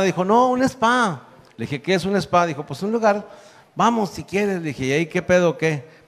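This man has a high-pitched voice and lively intonation. He speaks at a fairly quick pace. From northern Mexico. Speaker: comedian. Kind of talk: comedic storytelling.

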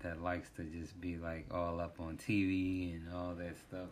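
A man with an American accent speaks in a monotone, flat intonation at a very deep, low pitch, with audible room echo. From US, Washington DC. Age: 30s. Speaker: podcast host. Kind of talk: casual monologue.

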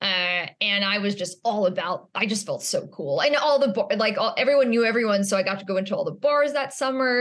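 This woman has a normal speaking voice at medium pitch. She talks at a fairly quick pace with lively intonation. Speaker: actress and former waitress. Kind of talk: casual chat. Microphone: worse audio setup than before.

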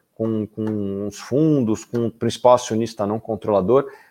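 A man with a Brazilian accent, medium pitch and a dark, mellow tone at a fairly slow pace, dry and close with no echo against a quiet background. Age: 30s. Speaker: investment analyst and podcast host. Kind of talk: livestream lecture on investing. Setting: live stream.

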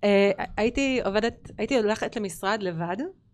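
A quiet background and a voice with ordinary pitch variation. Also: woman. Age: 40s. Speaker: entrepreneur and business owner. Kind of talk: casual interview chat. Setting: studio.

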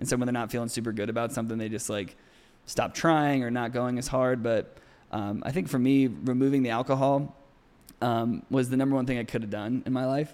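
At a fairly quick pace, a man with a plain, everyday voice talks at a medium pitch with fairly even intonation. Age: 30s. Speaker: model. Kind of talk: casual chat.

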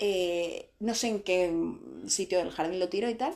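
The delivery is fairly slow, with lively intonation and a dark, mellow tone. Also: woman. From Spain. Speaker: beauty coach and podcast host. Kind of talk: interview.

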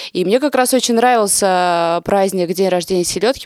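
On a very clean recording with a silent background and a dry, close sound with no echo, a woman with a plain, everyday voice speaks at a moderate pace in a medium pitch with ordinary pitch variation. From Russia, Nizhny Novgorod. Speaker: local media editor and event organizer. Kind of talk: casual chat.

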